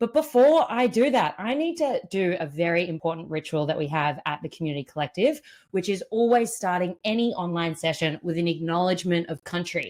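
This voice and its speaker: Animated in tone, a woman speaks in an Australian accent with a fairly low pitch. She barely pauses at all. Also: lively intonation, fairly quick pace. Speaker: event MC and community builder. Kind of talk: live online event hosting. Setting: live online event.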